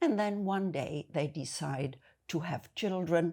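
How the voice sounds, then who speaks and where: A woman with a German accent, her fairly low pitch and dark, mellow tone on a very clean recording against a silent background. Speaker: video essayist. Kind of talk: monologue to camera.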